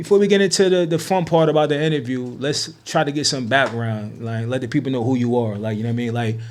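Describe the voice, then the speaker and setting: Amid audible room echo and noticeable background noise, a man of medium pitch with an American accent talks at a very fast pace with lively intonation and hardly any pauses. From New Jersey. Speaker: podcast host. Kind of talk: casual interview.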